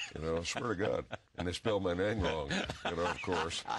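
A man speaks with a very deep, low pitch. His pitch varies in an ordinary way. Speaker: interview guest, actor. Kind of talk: interview answer. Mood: amused, relaxed, grateful. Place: studio. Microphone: lapel.

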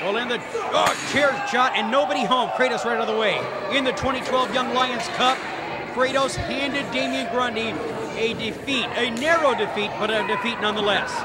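A man at a moderate pace, dry sound with no echo, amid loud background noise. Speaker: wrestling commentator. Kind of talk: live wrestling play-by-play commentary. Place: hall.

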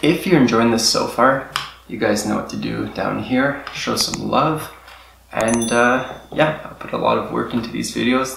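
Moderately paced speech from a man, with noticeable background noise behind it. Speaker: tech video host. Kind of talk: tutorial. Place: home room.

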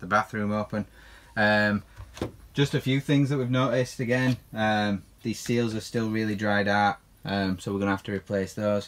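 A man with a bright, sharp tone talks at a moderate pace, his intonation fairly even. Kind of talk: casual vlog tour. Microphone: phone near.

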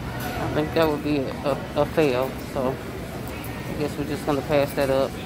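The pace is fairly slow. A woman talks over background music. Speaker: vlogger. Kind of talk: casual vlog chat. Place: shop. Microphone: phone near.

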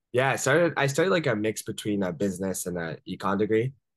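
The speaker has an American accent and lively intonation. The sound is dry with no echo, and the background is quiet. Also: man. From US, Washington D.C. area. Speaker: entrepreneur; podcast guest. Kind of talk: interview. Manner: casual, many fillers. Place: home room. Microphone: video call.

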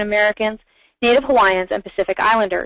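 Using an ordinary speaking voice, a woman speaks in a fairly high pitch with ordinary pitch variation, the sound dry and close with no echo. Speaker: webinar facilitator, legal fellow. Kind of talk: webinar moderation. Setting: webinar call.

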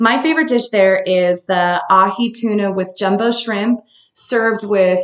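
A woman's fairly slow speech carries audible room echo. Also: quiet background. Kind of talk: casual live-stream recommendations.

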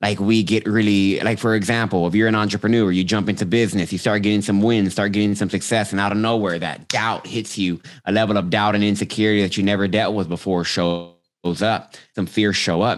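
Over a quiet background, a man talks at a fairly quick pace with a fairly low pitch. His loudness is very even and his intonation monotone and flat. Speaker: podcast guest, coach. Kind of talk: interview answer. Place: home room. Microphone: studio mic.

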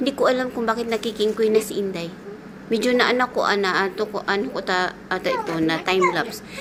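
Amid noticeable background noise, a woman talks at a very fast pace with a fairly high pitch and ordinary pitch variation. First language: Cebuano (speaking Tagalog). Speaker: domestic helper vlogger. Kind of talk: vlog voice-over. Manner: casual chatty.

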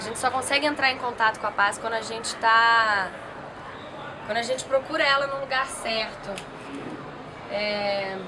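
Fairly high-pitched woman at a moderate pace with long, frequent pauses and ordinary pitch variation, crowd noise in the background. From southern Brazil, Rio Grande do Sul (Santa Cruz do Sul); Rio Grande do Sul, Brazil. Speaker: interviewee. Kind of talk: casual interview. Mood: relaxed, reflective. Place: garden.

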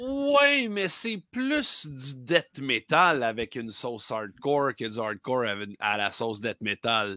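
A man with a Quebec accent speaks at a very slow pace, his voice dry with no echo against a quiet background. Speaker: record store clerk and podcast co-host; podcast co-host. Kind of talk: casual chat. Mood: relaxed, enthusiastic banter. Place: home room.

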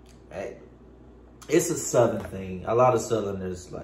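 Light background noise and audible room echo around a man's voice, its pitch varying in an ordinary way. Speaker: YouTube vlogger. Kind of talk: casual chat. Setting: home, filming himself while eating. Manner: rambling, halting. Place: home room. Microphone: phone near.

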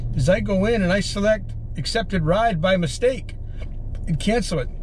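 A man's high voice with ordinary pitch variation comes through with a dry sound, no echo and light background noise. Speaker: rideshare driver vlogger. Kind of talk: casual vlog chat. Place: car. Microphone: camera far.

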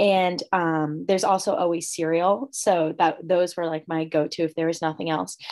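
A woman's unremarkable speaking voice, fairly low in pitch, at a moderate pace with hardly any pauses, fairly even intonation and a quiet background. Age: 20s. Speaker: college student; panelist. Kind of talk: live Q&A chat. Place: home room. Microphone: video call.

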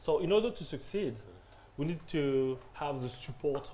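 A man speaks at a moderate pace over light background noise. His tone is dark and mellow, somewhat breathy, with lively intonation. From France. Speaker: media entrepreneur; panelist. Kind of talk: panel discussion. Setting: stage with audience. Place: classroom. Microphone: camera far.

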